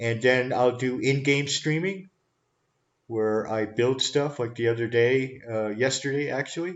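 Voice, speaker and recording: A man with a Canadian accent speaks in a plain, everyday voice at a medium pitch. His pace is fairly slow and his intonation fairly even. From Canada, Toronto. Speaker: live streamer, talk show host. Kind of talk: casual live stream talk.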